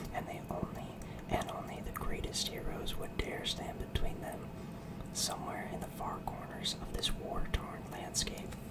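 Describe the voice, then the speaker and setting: Someone whispers over noticeable background noise. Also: moderate pace. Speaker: ASMR creator, tabletop game master. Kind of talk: reading book back cover aloud. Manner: whispered.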